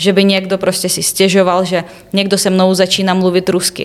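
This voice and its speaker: Her medium-pitched voice moves at a fairly slow pace as this woman speaks. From Ukraine, Kyiv region (Obukhiv). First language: Ukrainian/Russian (speaking Czech). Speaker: university student. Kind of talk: interview. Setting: studio.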